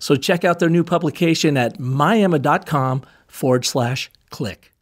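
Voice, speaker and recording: On a very clean recording with a silent background, an ordinary speaking voice moves with ordinary pitch variation. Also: man. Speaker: podcast host. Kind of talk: interview.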